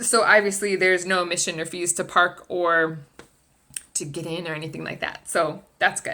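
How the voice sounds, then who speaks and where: With a bright, sharp and animated tone, a woman talks at a medium pitch. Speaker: travel agent and vlogger. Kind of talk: casual vlog talk to camera. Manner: fast.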